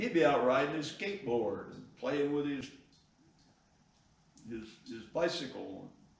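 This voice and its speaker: Over noticeable background noise and audible room echo, a man with a fairly high pitch talks at a fairly slow pace with lively intonation, big swings in loudness, and long, frequent pauses. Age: 80s+. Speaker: classic car builder. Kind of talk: interview.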